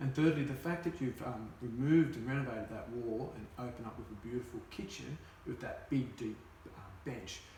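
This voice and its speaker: A man at a medium pitch, fairly quick in pace, with ordinary pitch variation and audible room echo. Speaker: real estate agent. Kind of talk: role-play sales appraisal. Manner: fast.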